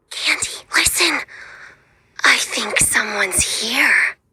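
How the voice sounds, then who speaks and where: A female-sounding put-on character voice at a fairly slow pace. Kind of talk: horror game villain. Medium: game stream. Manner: sing-song, giggling, playfully menacing.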